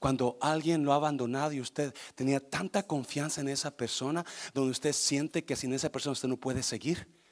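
This man has a normal speaking voice at a fairly high pitch. He talks at a fairly quick pace. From Mexico (born Guanajuato, raised Nayarit). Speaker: pastor. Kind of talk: sermon. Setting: church service with congregation.

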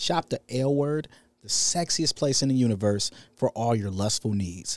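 A man's medium-pitched, animated voice with lively intonation at a moderate pace, in a dry, close sound with no echo. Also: very clean recording, silent background. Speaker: podcast host. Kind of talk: casual chat, comedic, profane. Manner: animated, joking.

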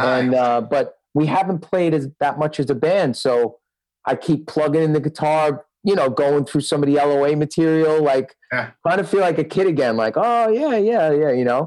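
A man with a New York accent speaks at a moderate pace and a fairly high pitch, with ordinary pitch variation and very even loudness. The recording is very clean, with a silent background. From Brooklyn, New York. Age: 40s. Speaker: rock guitarist and music producer. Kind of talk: casual chat.

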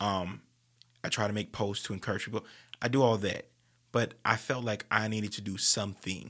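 A man's bright, sharp tone at a fairly low pitch, fairly quick pace with long, frequent pauses, fairly even intonation, and a very clean recording over a silent background. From New Orleans, Louisiana. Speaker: TV traffic anchor. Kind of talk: casual interview. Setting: studio.

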